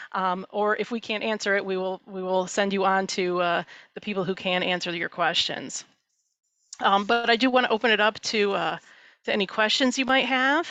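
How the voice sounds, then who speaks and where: This woman's voice sits at a medium pitch, with ordinary variation in its rise and fall. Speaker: church mission executive. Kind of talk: presentation Q&A. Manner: fast.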